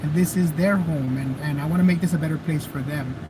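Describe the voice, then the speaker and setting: A man with a strong Mexican accent talks at a fairly quick pace, fairly high in pitch. His intonation stays fairly even over noticeable background noise. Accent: Mexican Spanish accent, heavy. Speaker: activist and video streamer. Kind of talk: live stream chat. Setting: live stream.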